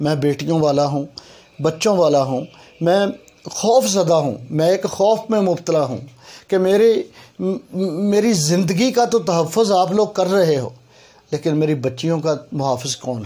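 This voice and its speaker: A man's high-pitched voice with a dark, mellow tone and lively intonation. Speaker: YouTube commentator. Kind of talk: emotional appeal to authorities.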